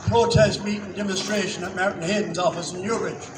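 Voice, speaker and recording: With an Irish accent and a high pitch, a man speaks with ordinary pitch variation amid audible room echo and noticeable background noise. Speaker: local councillor. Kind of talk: rally speech. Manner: halting.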